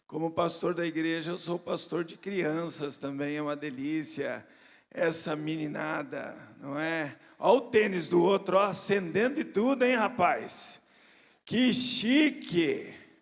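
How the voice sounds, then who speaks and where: Speaking at a very slow pace, a man with a high voice uses lively intonation and big swings in loudness. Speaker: pastor. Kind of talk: sermon. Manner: animated.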